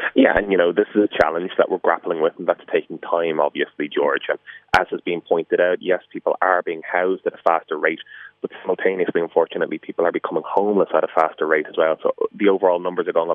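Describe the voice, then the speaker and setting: This man speaks extremely quickly. His accent is Irish. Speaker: politician. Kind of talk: radio interview. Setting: phone call.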